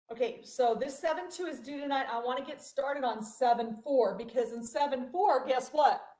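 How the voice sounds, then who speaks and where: A woman's high-pitched voice with ordinary pitch variation and big swings in loudness, at a moderate pace with hardly any pauses, in audible room echo. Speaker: math teacher. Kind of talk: online class lecture.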